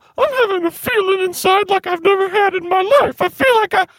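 A woman speaks at a fairly quick pace in an extremely high pitch, with ordinary pitch variation. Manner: rambling, homely, warm.

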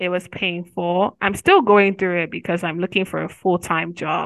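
A woman speaks at a moderate pace and medium pitch, her intonation monotone and flat. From Nigeria. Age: 20s. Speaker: university student. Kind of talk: interview.

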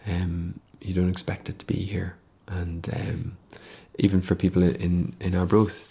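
A man speaks with a very deep, low pitch and a dark, mellow tone. His voice is somewhat breathy, and his intonation stays fairly even. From Ireland, Dublin. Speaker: arts venue general manager. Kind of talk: casual interview chat.

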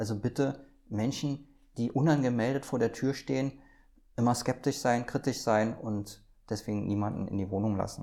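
Speaking at a moderate pace, a man with a medium pitch and a dark, mellow tone keeps a fairly even intonation on a very clean recording with a silent background. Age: 50s. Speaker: police prevention officer. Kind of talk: interview. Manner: hesitant with fillers.

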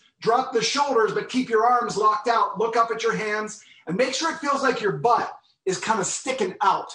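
With lively intonation, a raised, projected voice moves at a moderate pace. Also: man. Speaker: movement and fitness instructor. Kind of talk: exercise tutorial.

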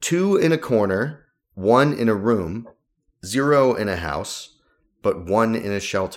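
In a plain, everyday voice, a man at a medium pitch speaks at a fairly slow pace with lively intonation on a very clean recording with a silent background. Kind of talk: radio DJ patter: cheerful back-from-break welcome with the show sign-on. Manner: relaxed, laughing, easygoing and chatty.

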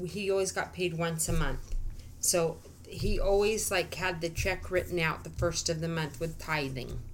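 Speaking at a moderate pace with very even loudness, a woman has an ordinary speaking voice, fairly low in pitch with fairly even intonation. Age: 50s. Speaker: Bible study podcast co-host. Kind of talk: casual Bible study chat.

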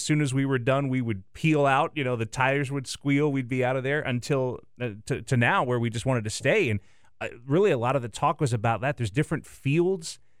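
On a very clean recording with a silent background, a man with an American accent and a normal speaking voice talks at a fairly quick pace, pitched fairly high, with ordinary pitch variation. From US South. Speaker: TV sports director. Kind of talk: casual chat. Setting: radio studio.

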